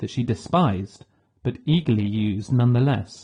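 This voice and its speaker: Against a quiet background, a man talks at a moderate pace with a somewhat breathy, dark, mellow tone, medium pitch and ordinary pitch variation. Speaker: audiobook narrator. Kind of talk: audiobook narration.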